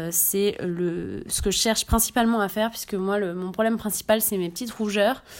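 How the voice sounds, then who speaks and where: A woman speaks at a medium pitch in an unremarkable speaking voice. Her pace is moderate, and her intonation stays fairly even. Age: 20s. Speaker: community manager presenting a beauty podcast. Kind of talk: product review monologue.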